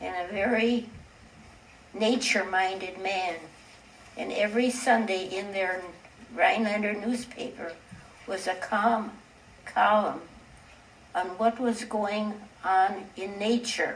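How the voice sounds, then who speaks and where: Over noticeable background noise, a woman speaks very slowly in a medium pitch with a warm tone, fairly even intonation, and long, frequent pauses. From city. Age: 80s+. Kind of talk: oral history interview answer. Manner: reminiscing, warm.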